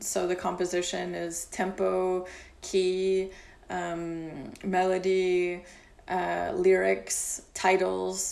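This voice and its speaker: A woman with an American accent speaks at a very slow pace. Audible room echo hangs around her voice. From Kentucky, US. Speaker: music publisher. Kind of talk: casual interview. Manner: halting, many fillers.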